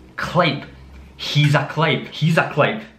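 A man with a Scottish accent speaks with audible room echo. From Scotland. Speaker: language teacher. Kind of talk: casual language lesson to camera. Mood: friendly, playful. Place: kitchen.

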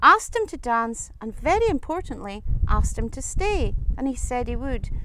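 The sound is dry, with no echo. Background noise is noticeable. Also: woman. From Scottish Highlands. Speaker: storyteller. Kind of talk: folk tale telling. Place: open country. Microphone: lapel.

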